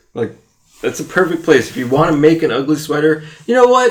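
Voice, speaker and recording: Talking at a moderate pace, a man with an American accent has an unremarkable speaking voice and ordinary pitch variation. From US East Coast. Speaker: podcast co-host. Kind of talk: casual chat.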